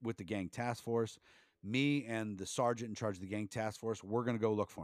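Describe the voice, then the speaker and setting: Fairly low in pitch, a man speaks at a fairly quick pace with an American accent. The recording is very clean, with a silent background. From US Midwest, Canton, Ohio. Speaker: police officer and dog trainer. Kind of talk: casual interview.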